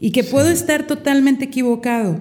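A woman's voice with a dark, mellow tone. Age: 50s. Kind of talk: casual chat.

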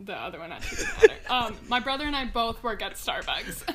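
Speaking at a fairly quick pace, a woman with an American accent has a fairly high pitch. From US West Coast, Mountain View, California. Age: 20s. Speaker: podcast guest. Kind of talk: casual chat.

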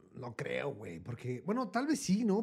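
The man's voice has a dark, mellow tone and moves at a moderate pace. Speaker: podcast co-host. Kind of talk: casual chat.

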